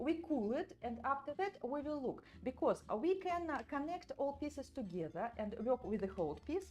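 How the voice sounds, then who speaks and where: A high-pitched woman with a non-native accent at a moderate pace, with very wide pitch swings and hardly any pauses. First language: not English. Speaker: doll artist and sculpting teacher. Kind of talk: live tutorial. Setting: livestream from studio. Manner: halting, many fillers.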